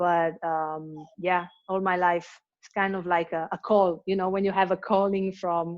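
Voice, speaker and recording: A woman at a fairly slow pace, medium in pitch, with an Italian accent and monotone, flat intonation. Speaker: hip hop dancer. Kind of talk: interview. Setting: video call. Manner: halting.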